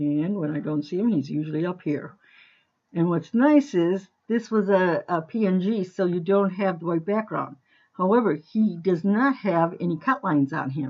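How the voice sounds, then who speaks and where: A woman's normal speaking voice, medium in pitch, at a moderate pace with lively intonation. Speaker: crafting tutorial maker. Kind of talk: screen-recorded tutorial. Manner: casual, with fillers.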